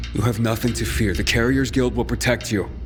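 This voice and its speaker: A man's put-on character voice, fairly low and at a fairly quick pace, with very even loudness and clear background noise. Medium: video game.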